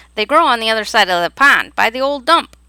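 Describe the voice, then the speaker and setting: A woman puts on a character voice with a fairly high pitch. She talks at a very fast pace. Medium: read story. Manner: loud, drowsy.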